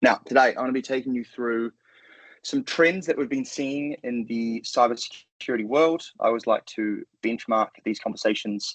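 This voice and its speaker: This man has a New Zealand accent and talks at a moderate pace. The sound is dry and close, with no echo. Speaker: cybersecurity sales engineer. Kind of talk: webinar presentation.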